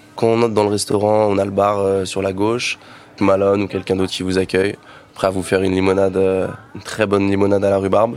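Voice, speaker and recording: Talking at a fairly quick pace, a man has a fairly low pitch. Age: 20s. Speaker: restaurant manager. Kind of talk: promotional presentation.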